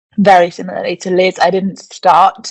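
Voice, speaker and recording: In a British accent, a woman speaks at a moderate pace. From England. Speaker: postdoctoral researcher in digital health ethics. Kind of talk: panel discussion.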